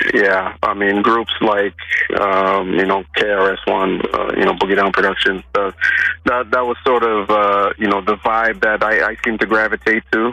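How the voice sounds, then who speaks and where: Background noise is noticeable as a man speaks at a fairly low pitch and moderate pace. His intonation is fairly even and his loudness very even. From Canada. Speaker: rapper. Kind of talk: interview. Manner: halting, many fillers.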